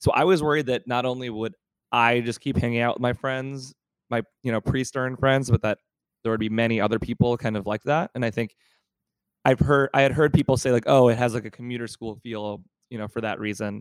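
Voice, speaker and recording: A man's normal speaking voice at a medium pitch, with fairly even intonation at a fairly quick pace, in a dry, close sound with no echo. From Pittsburgh, US. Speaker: MBA student, student government co-president. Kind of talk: casual interview chat.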